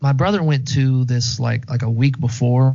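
A man talks at a medium pitch, somewhat breathy, with ordinary pitch variation. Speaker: guest co-host. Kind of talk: casual chat.

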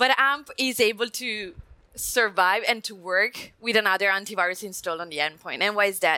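A woman in an Italian accent speaks at a moderate pace, her medium-pitched voice bright and sharp in tone, with ordinary pitch variation. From Italy. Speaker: security systems engineer. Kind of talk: technical panel discussion.

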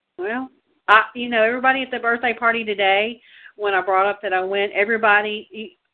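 Here is a woman with an unremarkable speaking voice. She talks fairly quickly at a fairly high pitch. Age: 60s. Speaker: political activist co-host. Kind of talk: casual chat. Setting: call-in show.

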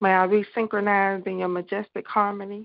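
A woman's medium-pitched voice in a flat monotone. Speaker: radio host. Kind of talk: live call-in radio show. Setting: phone call-in radio show.

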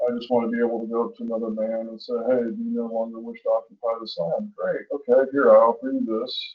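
Quiet yet with big swings in loudness, a man rushes along at a very fast pace with hardly any pauses. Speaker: call-in guest on a podcast. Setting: remote call over computer, distant bad connection. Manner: talks under his breath, quiet.

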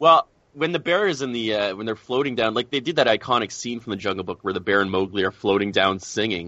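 Using an ordinary speaking voice, a man talks at a fairly quick pace. His pitch is medium, with ordinary variation. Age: 30s. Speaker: podcast co-host. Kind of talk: casual chat.

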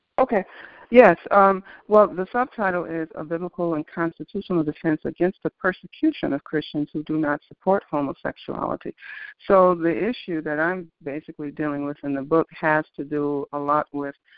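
This woman has a normal speaking voice, fairly low in pitch, with ordinary pitch variation and a moderate pace. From Detroit, Michigan. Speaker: author. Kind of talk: interview. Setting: phone call.

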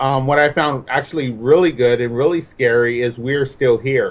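He has an unremarkable speaking voice and a fairly high pitch. The man talks at a moderate pace with ordinary pitch variation. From Mexican-American neighborhood, US. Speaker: horror film guest. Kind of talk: casual chat.

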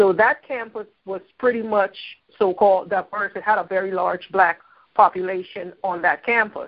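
At a moderate pace, a woman with a normal speaking voice talks at medium pitch with fairly even intonation. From Philadelphia. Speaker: caller, adjunct instructor. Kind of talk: call-in discussion.

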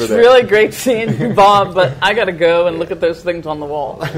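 Over noticeable background noise, a woman with a fairly low pitch talks at a fairly quick pace with lively intonation. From New York. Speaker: radio show co-host. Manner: lively, laughing, chatty.

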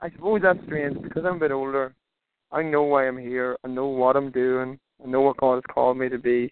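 In an Irish accent, a man of medium pitch speaks at a fairly quick pace with fairly even intonation. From Ireland. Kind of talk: interview. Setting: phone call while driving.

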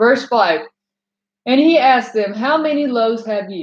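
A woman's unremarkable speaking voice with ordinary pitch variation. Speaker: bible teacher. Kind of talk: scripture reading and teaching.

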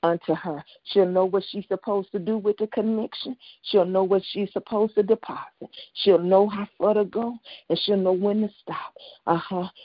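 At a moderate pace, a woman with a normal speaking voice talks in a medium pitch with fairly even intonation. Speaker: prayer call leader. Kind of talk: intercessory prayer. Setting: phone call.

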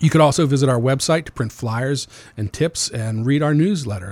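The voice sounds somewhat breathy. The recording is very clean, with a silent background. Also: man. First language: Amharic. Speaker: executive director of a youth homeless shelter nonprofit. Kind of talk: radio interview.

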